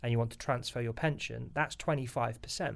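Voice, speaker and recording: This man has a British accent and a medium pitch. His pitch variation is ordinary. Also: very clean recording, silent background. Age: 30s. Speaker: financial advisor. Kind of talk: interview.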